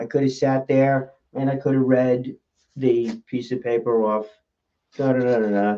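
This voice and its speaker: The intonation is flat and monotone. A man delivers it at a fairly slow pace. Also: medium pitch for a man. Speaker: public speaker. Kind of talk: casual talk about public speaking.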